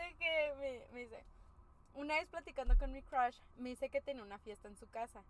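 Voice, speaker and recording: Speaking at a moderate pace with a Mexican accent, a woman with a high pitch and ordinary pitch variation swings widely in loudness over noticeable background noise. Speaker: podcast co-host. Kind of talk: casual chat.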